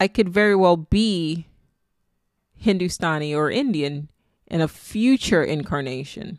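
Speaking at a fairly slow pace with long, frequent pauses, a woman with a Nigerian accent has a fairly low voice, captured in a very clean recording with a silent background. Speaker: spirituality podcaster. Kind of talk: solo monologue. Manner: casual, laughs often.

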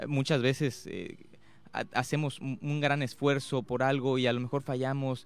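The man's voice sits at a medium pitch. He talks at a fairly slow pace with monotone, flat intonation. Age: 20s. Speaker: youth award winner, performing artist. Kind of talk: radio interview. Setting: radio studio. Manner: hesitant, many fillers.

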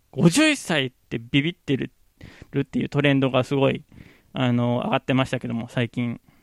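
Speaking at a moderate pace and medium pitch, a man with an unremarkable speaking voice keeps his intonation fairly even, recorded dry and close with no echo. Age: 30s. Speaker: podcaster. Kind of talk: casual solo podcast talk. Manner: casual, frequent laughs.

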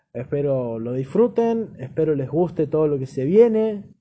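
A man's fairly high voice with a dark, mellow tone at a fairly slow pace. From Argentina, Chubut. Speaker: podcast host. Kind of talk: casual chat.

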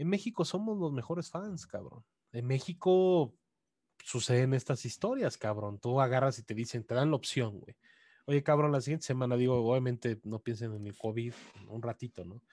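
In a very clean recording with a silent background and a dry, close sound with no echo, a man with a normal speaking voice talks at medium pitch and a moderate pace, his intonation lively and his loudness swinging widely. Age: 30s. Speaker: video game journalist. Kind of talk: casual chat.

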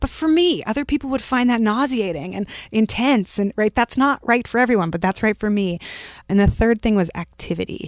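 Fairly quick and lively, a woman speaks with an American accent in a plain, everyday voice at a fairly high pitch. The sound is dry and close with no echo, on a very clean recording with a silent background. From California, Bay Area. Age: 30s. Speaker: writer and podcast host. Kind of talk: casual chat.

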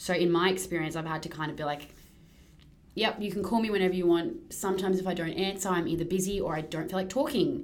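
This woman's medium-pitched voice moves at a very fast pace, with ordinary pitch variation. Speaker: podcast co-host. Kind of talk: casual chat. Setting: rented content studio. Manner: loud.

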